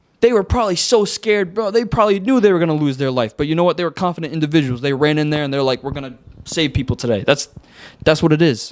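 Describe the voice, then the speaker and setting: Speaking very fast, a man uses lively intonation and a fairly high pitch. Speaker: podcast host. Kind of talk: casual chat. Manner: animated.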